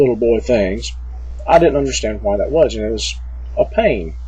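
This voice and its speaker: With a Southern US accent, a man speaks at a moderate pace in a room with audible echo. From US South, small town. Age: 40s. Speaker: vlogger. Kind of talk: personal vlog. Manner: halting, many fillers.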